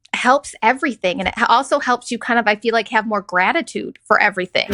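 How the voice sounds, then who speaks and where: Lively intonation in a woman's raised, projected voice. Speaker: podcast host. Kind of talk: casual podcast conversation.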